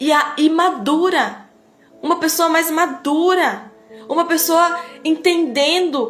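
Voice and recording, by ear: Music plays behind a woman with an extremely high pitch. Her tone is animated, with ordinary pitch variation.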